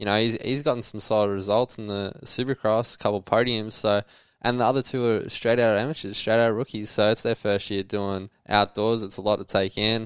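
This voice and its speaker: In an Australian accent, a man speaks fairly quickly with hardly any pauses, a fairly low pitch and fairly even intonation on a very clean recording with a silent background. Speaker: motocross rider. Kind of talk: casual chat. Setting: studio.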